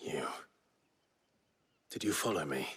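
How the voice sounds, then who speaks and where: A raspy whisper in a put-on character voice. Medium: video game. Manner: low, restrained.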